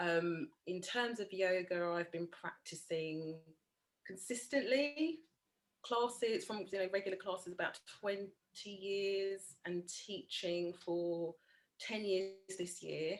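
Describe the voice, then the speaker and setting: Speaking very slowly, a woman talks in a London accent. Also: medium pitch for a woman, ordinary pitch variation. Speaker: yoga teacher. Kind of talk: interview.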